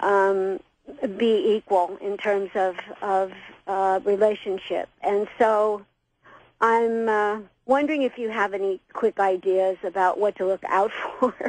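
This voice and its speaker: Woman at a fairly slow pace with fairly even intonation and long, frequent pauses, dry and close with no echo against a quiet background. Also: medium pitch for a woman. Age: 60s. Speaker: caller. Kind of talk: call-in radio conversation. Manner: halting.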